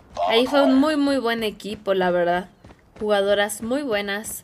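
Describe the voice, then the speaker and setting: Against noticeable background noise, a woman speaks fairly slowly in an animated tone with long, frequent pauses. Her voice sits fairly high, with ordinary pitch variation. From Mexico, State of Mexico (Edomex). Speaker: gaming streamer. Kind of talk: live gaming stream chat. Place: home room.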